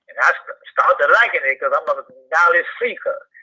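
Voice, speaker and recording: Here a man is speaking. He keeps a moderate pace. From New Orleans, Louisiana. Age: 60s. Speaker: YouTube commentator. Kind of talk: interview. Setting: phone call.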